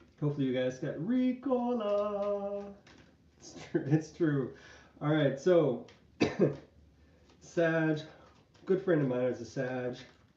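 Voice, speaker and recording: A very slow delivery with long, frequent pauses, a dark, mellow tone, very wide pitch swings and audible room echo. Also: man, fairly high pitch for a man. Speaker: tarot reader. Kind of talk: tarot reading livestream. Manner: casual, chatty.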